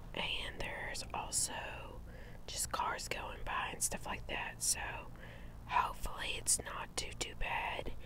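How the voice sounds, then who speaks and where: A woman whispers at a very slow pace. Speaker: channel host. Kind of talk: casual vlog chat and Bible reading aloud. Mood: calm, gentle. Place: garden. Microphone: lapel.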